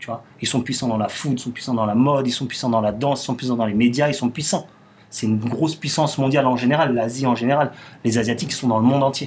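A man at medium pitch, very fast pace, with fairly even intonation. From Paris suburbs, Belleville. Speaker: restaurant owner. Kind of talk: casual interview conversation. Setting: studio, filmed podcast.

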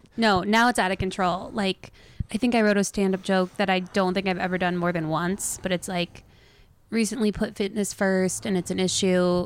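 A woman with an unremarkable speaking voice talks at a moderate pace and medium pitch, with fairly even intonation and very even loudness. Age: 30s. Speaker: comedian. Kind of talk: casual chat.

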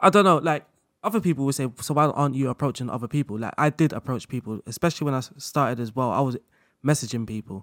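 A man talks very fast at a medium pitch with ordinary pitch variation. The sound is dry and close, with no echo. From London. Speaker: football manager content creator. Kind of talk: casual interview chat.

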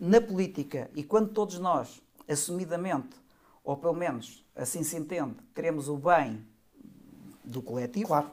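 At a moderate pace, a man with a fairly high pitch and lively intonation speaks, leaving long, frequent pauses. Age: 50s. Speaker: retired army colonel and party leadership candidate. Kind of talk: podcast interview.

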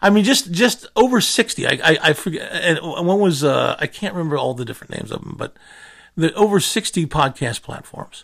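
The man speaks at a fairly quick pace. His loudness swings widely. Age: 50s. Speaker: podcast host. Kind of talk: solo monologue rant. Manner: halting, many fillers and repetitions.

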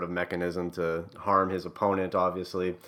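A man with a Canadian accent speaks in a very deep, low voice, flat and monotone, with a bright, sharp tone on a very clean recording with a silent background. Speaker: wrestling podcast co-host. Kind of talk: casual chat.

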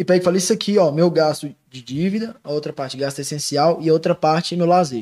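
This man talks at a very fast pace with a fairly high pitch. His tone is dark and mellow, and his pitch varies in an ordinary way. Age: 20s. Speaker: investment advisor. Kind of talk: casual chat.

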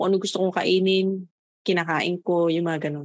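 A woman at a fairly quick pace, medium in pitch, with an ordinary speaking voice. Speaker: podcast co-host. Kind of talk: casual chat.

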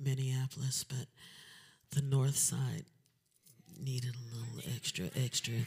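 A woman with a very deep, low pitch and a dark, mellow tone talks at a fairly slow pace, sounding somewhat breathy. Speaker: singer performing at a fundraiser concert. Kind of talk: casual, warm.

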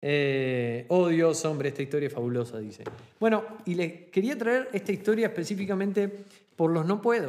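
A man speaks with a Rioplatense accent at a high pitch. His pitch swings very widely. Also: moderate pace. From Argentina. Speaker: podcast host, online business coach. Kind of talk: solo podcast monologue.

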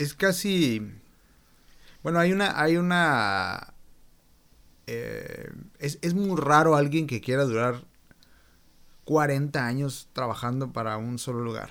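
Speaking at a very slow pace with long, frequent pauses, a man uses a fairly high pitch and lively intonation. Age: 30s. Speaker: podcast host. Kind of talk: casual interview.

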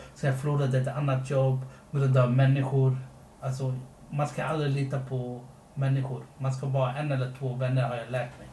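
Amid noticeable background noise and audible room echo, a man speaks at a fairly quick pace with a medium pitch and monotone, flat intonation. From Sri Lanka, came to Sweden as a child. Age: 20s. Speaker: podcast co-host. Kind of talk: casual chat.

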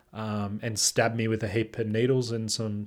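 A man with an Australian accent, at a moderate pace. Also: very clean recording, silent background. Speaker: podcast co-host. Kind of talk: casual chat.

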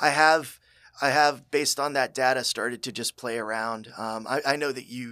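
Recorded very cleanly against a silent background, a man speaks at a fairly quick pace in a bright, sharp voice of medium pitch, with ordinary pitch variation and big swings in loudness. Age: 40s. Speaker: construction technology consultant. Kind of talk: casual interview chat.

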